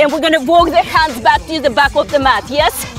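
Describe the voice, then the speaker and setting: With faint music in the background and a dry sound with no echo, a woman speaks at a high pitch with ordinary pitch variation. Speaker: fitness instructor. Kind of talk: workout coaching cues. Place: garden.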